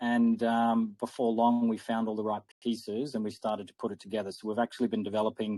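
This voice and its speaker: In a dry, close sound with no echo, a man with an Australian accent speaks at a very fast pace, medium in pitch and dark and mellow in tone, with a monotone, flat intonation. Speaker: crypto project founder. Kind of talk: interview.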